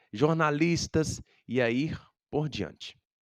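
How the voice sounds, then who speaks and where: A man's fairly high voice with lively intonation at a very slow pace, dry and close with no echo, on a very clean recording with a silent background. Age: 30s. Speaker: music teacher. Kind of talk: educational talk.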